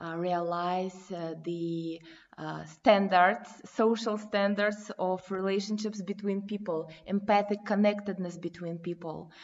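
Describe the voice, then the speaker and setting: Her pace is very slow, with monotone, flat intonation. This woman's pitch is medium. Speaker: community development practitioner, parent. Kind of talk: interview conversation. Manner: halting, non-fluent.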